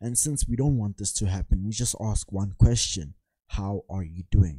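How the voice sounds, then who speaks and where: This somewhat breathy voice has a dark, mellow tone, ordinary pitch variation, big swings in loudness and a moderate pace, captured with a dry, close sound with no echo on a very clean recording with a silent background. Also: man, fairly low pitch for a man. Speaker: sales and marketing coach. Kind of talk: tutorial.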